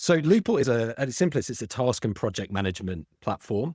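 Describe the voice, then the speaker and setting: A man with a British accent speaks in a very clean recording over a silent background, the sound dry and close with no echo. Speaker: legal tech founder, former law firm partner. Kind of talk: interview. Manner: some hesitations and repeated words.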